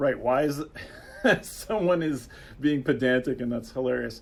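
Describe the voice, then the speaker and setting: A man talks at a fairly slow pace. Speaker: game developer livestream host. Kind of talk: livestream chat. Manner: halting, many fillers.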